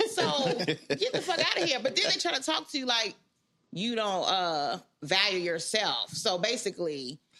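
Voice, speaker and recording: A woman speaks loudly at a moderate pace, her medium-pitched voice animated and full of very wide pitch swings. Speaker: podcast co-host. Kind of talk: casual chat.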